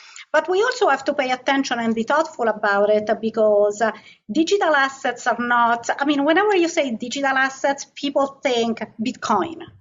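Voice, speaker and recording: A woman talks in a high voice with lively intonation and very even loudness. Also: moderate pace. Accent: non-native. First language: not English. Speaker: asset management executive. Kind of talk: interview.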